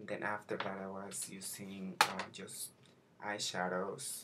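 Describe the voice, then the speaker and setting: Soft-spoken and fairly low-pitched, a man talks at a very slow pace with fairly even intonation over noticeable background noise. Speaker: makeup vlogger. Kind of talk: tutorial. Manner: halting. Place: home room. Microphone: webcam.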